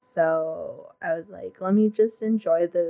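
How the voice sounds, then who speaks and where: A soft-spoken woman talks. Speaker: podcast guest. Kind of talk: casual chat.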